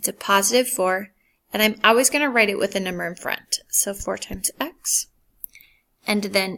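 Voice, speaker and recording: There is vocal fry in this woman's voice. She talks at medium pitch with ordinary pitch variation. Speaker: math teacher. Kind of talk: tutorial. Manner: animated.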